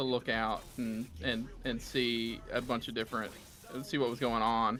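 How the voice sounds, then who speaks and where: A man with a Southern US accent, a medium pitch and a bright, sharp tone speaks at a fairly slow pace in a monotone, flat intonation. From US South. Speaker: gamer on co-op stream. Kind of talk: casual chat.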